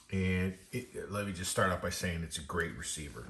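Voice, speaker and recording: Over light background noise, a man talks in a very deep, low voice that is somewhat breathy. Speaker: radio hobbyist. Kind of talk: casual review vlog. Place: home room.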